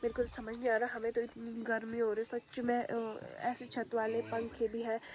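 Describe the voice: With a fairly high pitch and a slightly mellow tone, a woman speaks at a moderate pace in a monotone, flat intonation.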